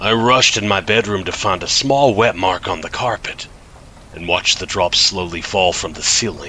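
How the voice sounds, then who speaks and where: A man talks at a moderate pace with a fairly low pitch and ordinary pitch variation. Noticeable background noise runs behind him. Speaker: horror narrator. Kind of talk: horror story narration (creepypasta), read in first person.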